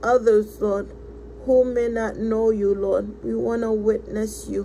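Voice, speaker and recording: A woman's voice with noticeable background noise. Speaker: prayer leader. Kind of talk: fervent prayer. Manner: earnest, rhythmic, repeating thanks and praise in a rising devotional cadence.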